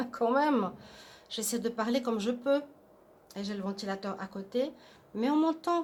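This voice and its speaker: A soft-spoken woman with a fairly high voice talks at a moderate pace, leaving long, frequent pauses. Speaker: tarot card reader. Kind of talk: tarot reading.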